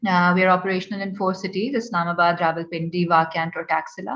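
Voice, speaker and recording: The speaker has a Pakistani accent and a monotone, flat intonation. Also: woman. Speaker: startup founder. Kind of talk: panel talk. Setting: online event. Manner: hesitant, many fillers.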